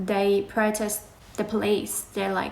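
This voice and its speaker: A woman with an Iranian accent speaks at a medium pitch in a monotone, flat intonation, at a fairly slow pace. Room echo is audible. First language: Farsi. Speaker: animal rights activist. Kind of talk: live Q&A. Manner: casual, conversational.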